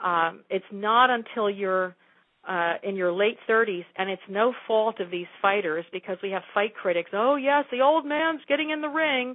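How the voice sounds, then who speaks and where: In a normal speaking voice, a woman talks at a moderate pace with lively intonation and a fairly high pitch. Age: 60s. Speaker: yoga teacher and martial artist. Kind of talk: interview.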